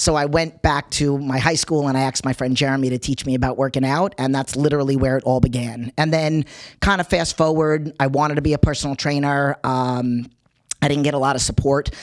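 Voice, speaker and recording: A woman with a New York accent speaks at a fairly quick pace. Her very deep, low voice stays in a flat monotone. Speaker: personal trainer. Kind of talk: interview.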